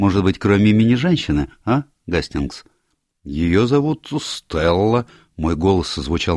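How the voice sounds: With a quiet background, the voice is a natural reading voice.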